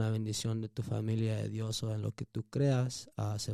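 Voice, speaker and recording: A man's dark, mellow voice at medium pitch and a fairly quick pace, dry and close with no echo, on a very clean recording with a silent background. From Phoenix, Arizona (born in Mexico). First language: Spanish. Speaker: musician. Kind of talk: motivational speech in Spanish; casual interview.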